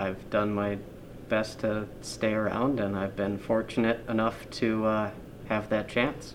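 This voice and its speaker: Audible room echo surrounds a man with an American accent who speaks fairly slowly at a fairly low pitch in a monotone, flat intonation. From Upper Peninsula of Michigan, Marquette. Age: 20s. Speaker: tourism office manager. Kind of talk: interview. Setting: office, wearing mask.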